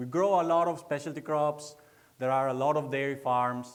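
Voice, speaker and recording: A man with an Italian accent speaks at a moderate pace and fairly even intonation, with audible room echo. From northeastern Italy (Veneto). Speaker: research agronomist. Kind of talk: public lecture. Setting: lecture hall with audience. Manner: halting, many fillers.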